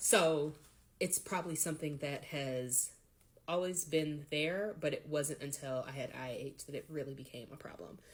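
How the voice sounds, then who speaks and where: A soft-spoken woman with a very deep, low pitch, ordinary pitch variation and a moderate pace. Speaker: patient vlogger. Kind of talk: personal health vlog. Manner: hesitant with fillers.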